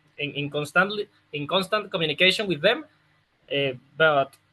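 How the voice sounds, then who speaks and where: Ordinary pitch variation with a Spanish accent. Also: man. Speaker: football opposition analyst. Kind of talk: interview answer. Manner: hesitant, many fillers.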